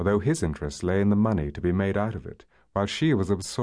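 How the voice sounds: Natural reading voice, intonation fairly even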